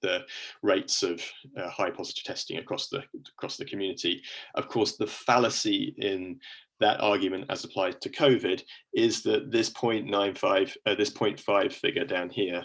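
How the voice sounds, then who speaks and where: The speaker is a man with a British accent. He keeps a moderate pace. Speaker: university lecturer. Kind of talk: lecture.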